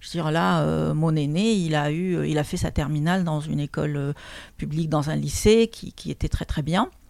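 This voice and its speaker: This woman's pitch is very deep and low, with ordinary variation, and her pace is moderate. The recording is very clean, with a silent background. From Lebanon. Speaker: trainer and coach. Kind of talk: interview testimony.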